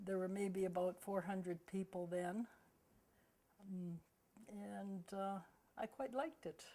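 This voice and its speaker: A dark, mellow tone in a western Canadian accent at a very slow pace. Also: woman. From Vancouver, Canada. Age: 80s+. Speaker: senior local resident. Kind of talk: oral history interview.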